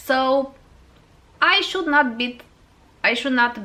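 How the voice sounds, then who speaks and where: A woman with a Romanian accent speaks at a fairly slow pace. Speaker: fragrance YouTuber. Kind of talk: casual vlog talk to camera. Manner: halting, many fillers.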